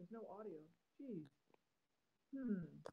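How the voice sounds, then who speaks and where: This woman's voice has a dark, mellow tone. It sounds somewhat breathy. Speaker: cartoonist. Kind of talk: live-stream drawing chat. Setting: live stream from phone. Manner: halting, many fillers. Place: home room. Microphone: phone near.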